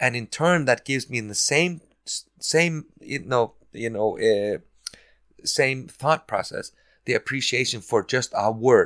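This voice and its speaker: With long, frequent pauses, a man speaks at a moderate pace and medium pitch in a dry, close sound with no echo. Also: ordinary pitch variation. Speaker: podcast host. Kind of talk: casual chat.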